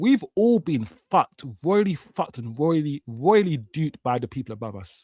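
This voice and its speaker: A fairly high male voice at a moderate pace, with very wide pitch swings, big swings in loudness, hardly any pauses, and a dry, close sound with no echo. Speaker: football fan streamer. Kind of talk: casual chat on a live watch-along stream. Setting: live stream.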